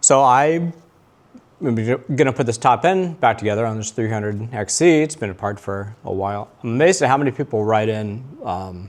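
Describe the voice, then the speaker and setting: At a fairly quick pace, a man talks with medium pitch and lively intonation. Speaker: motorcycle mechanic video host. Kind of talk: tutorial. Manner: fast; stumbling at times.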